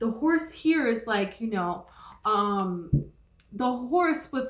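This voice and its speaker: A woman talks in a plain, everyday voice, pitched fairly high. Her intonation is lively. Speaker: tarot reader. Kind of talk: tarot reading. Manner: casual, filler-heavy.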